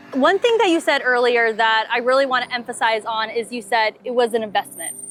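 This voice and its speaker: Over music in the background, a woman speaks at a fairly quick pace in an upbeat tone, with ordinary pitch variation. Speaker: roofing company host. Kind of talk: customer interview host.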